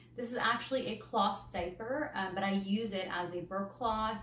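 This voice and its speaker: Audible room echo and light background noise surround a woman speaking. She talks at a fairly slow pace with ordinary pitch variation. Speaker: parent vlogger. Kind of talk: casual vlog chat. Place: home room.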